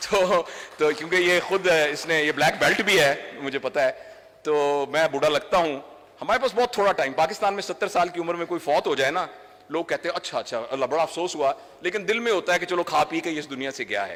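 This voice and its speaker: Noticeable background noise sits behind the speech. The pace is moderate, and the pitch varies in an ordinary way. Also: man, high pitch for a man. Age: 60s. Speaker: doctor and trainer. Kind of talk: public speech. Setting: stage with audience.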